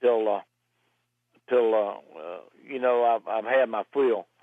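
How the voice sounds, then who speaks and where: The speaker has a Southern US accent and talks at a moderate pace with fairly even intonation. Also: man. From US South, Roanoke Virginia. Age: 70s. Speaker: racing driver. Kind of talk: interview. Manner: halting.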